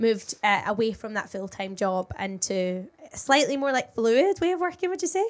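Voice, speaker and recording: Speaking in a British accent at a moderate pace, a woman uses a fairly high pitch with very wide pitch swings. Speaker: radio and television presenter, podcast co-host. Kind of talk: casual chat.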